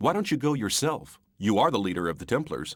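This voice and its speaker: Growling in a put-on character voice, a man at medium pitch talks at a fairly quick pace with very wide pitch swings. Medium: video game.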